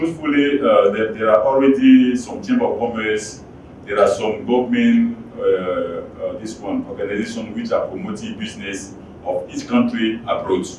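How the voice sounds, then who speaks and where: With a French accent, a man talks at a moderate pace amid noticeable background noise and audible room echo. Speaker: business club director. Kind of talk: speech at business event. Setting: auditorium with audience. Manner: halting.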